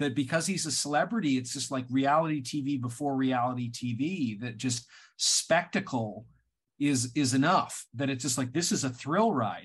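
A somewhat breathy man's voice at a moderate pace, with ordinary pitch variation. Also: medium pitch for a man. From Canada. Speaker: writer and filmmaker. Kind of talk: casual chat.

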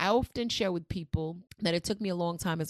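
Talking very fast, a woman speaks with a New York accent. The sound is dry and close with no echo, and the background is quiet. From New York City. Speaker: researcher and author.

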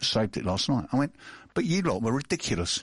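A man's somewhat breathy, medium-pitched voice at a fairly quick pace, with very wide pitch swings, over a quiet background. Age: 60s. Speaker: business owner and radio host. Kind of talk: casual interview chat.

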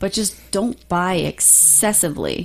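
This woman has an ordinary speaking voice with a fairly low pitch. Her intonation is lively. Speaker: podcast co-host. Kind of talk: casual podcast chat. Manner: casual, conversational with filler words.

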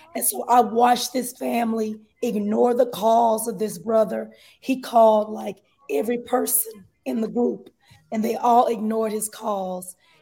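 At a moderate pace, a woman speaks in a dark, mellow tone, her fairly high pitch somewhat breathy and her intonation fairly even. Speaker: advice caller. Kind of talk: phone-in advice request.

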